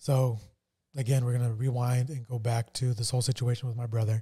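At a fairly quick pace, a man delivers his medium-pitched lines with monotone, flat intonation in a dark, mellow, somewhat breathy tone. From New Mexico. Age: 40s. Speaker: podcast host. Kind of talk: casual chat. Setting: studio.

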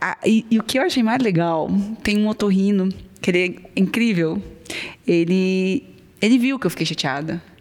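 Speaking at a moderate pace with long, frequent pauses, a woman with a slight Minas Gerais accent uses a medium pitch and ordinary pitch variation. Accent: faint Minas Gerais. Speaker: ENT doctor. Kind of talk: casual interview chat.

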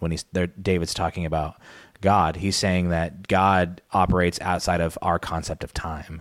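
A man with an American accent speaks at a moderate pace in a very deep, low voice with monotone, flat intonation. The recording is very clean, with a silent background. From Arizona, Pinal County. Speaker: associate pastor and podcast producer. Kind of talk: casual chat.

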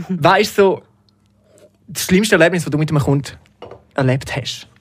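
The speaker is a man. He talks at a moderate pace. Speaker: podcast host. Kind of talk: casual chat.

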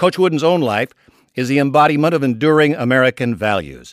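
Here a man uses a normal speaking voice at medium pitch, with ordinary pitch variation and a dry, close sound with no echo. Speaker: author. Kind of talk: scripted narration.

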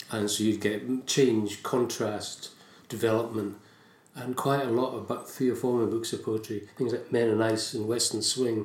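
A man with a Scottish accent at medium pitch and moderate pace, flat and monotone, with audible room echo. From Scotland. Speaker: writer and poet. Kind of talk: casual interview chat.

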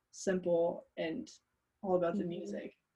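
A woman's dark, mellow, somewhat breathy voice at a fairly slow pace with fairly even intonation. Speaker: podcast host. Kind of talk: casual interview.

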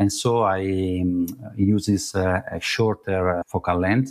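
A man speaks in an Italian accent with a very deep, low pitch and fairly even intonation. The recording is very clean, with a silent background. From Italy. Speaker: travel photographer. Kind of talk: casual interview conversation. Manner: halting, searching for words.

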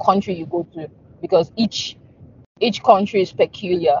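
A woman talks in a somewhat breathy voice at a medium pitch. Her intonation is fairly even. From Nigeria. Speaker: music lawyer. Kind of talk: interview. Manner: halting.

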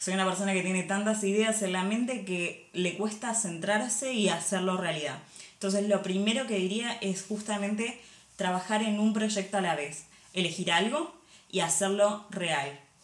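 Audible room echo and noticeable background noise surround a woman of medium pitch who speaks with an Argentine accent. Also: ordinary pitch variation, moderate pace. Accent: Argentine Spanish (Rioplatense). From Argentina. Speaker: industrial designer and corporate image consultant. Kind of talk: casual interview.

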